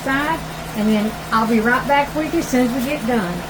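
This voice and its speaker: Over noticeable background noise and audible room echo, a woman speaks with a high pitch and an American accent. Her pace is moderate and her pitch variation ordinary. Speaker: cooking channel host. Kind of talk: cooking tutorial. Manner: loud; animated.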